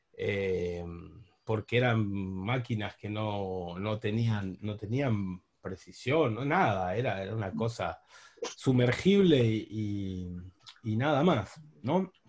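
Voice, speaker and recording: At a very slow pace, a man talks with a fairly low pitch and ordinary pitch variation. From Buenos Aires, Argentina. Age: 40s. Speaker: diving instructor and underwater photographer. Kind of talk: online talk with slides.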